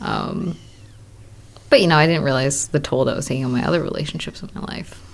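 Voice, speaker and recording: With a Maryland accent, a woman speaks at a very fast pace in a very deep, low pitch, her pitch varying in an ordinary way. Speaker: new mother and film boom operator. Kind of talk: casual interview chat. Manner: casual, filler-heavy.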